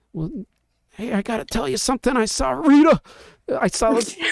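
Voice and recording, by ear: Someone puts on a strained character voice, fairly high in pitch and delivered at a fairly quick pace.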